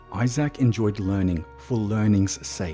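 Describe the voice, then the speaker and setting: A man's fairly low voice with lively intonation at a moderate pace, music in the background. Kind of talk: horror story narration. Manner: speech impediment.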